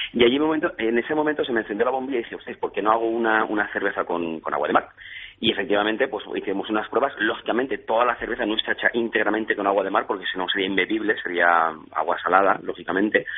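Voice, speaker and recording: Speaking at a very fast pace, a man uses a medium-pitched voice with ordinary pitch variation. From Valencia region, Spain (Xàtiva). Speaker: craft beer entrepreneur. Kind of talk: radio interview. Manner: halting.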